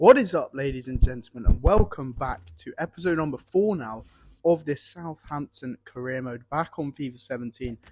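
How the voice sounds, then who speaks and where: A man with an English accent at a moderate pace, in a dry, close sound with no echo. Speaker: gaming YouTuber. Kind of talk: gameplay commentary. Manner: animated.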